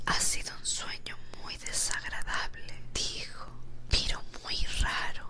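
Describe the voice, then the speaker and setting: The speaker whispers at a very slow pace. Background noise is noticeable throughout. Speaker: ASMR storyteller. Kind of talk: sleep story. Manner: whispered.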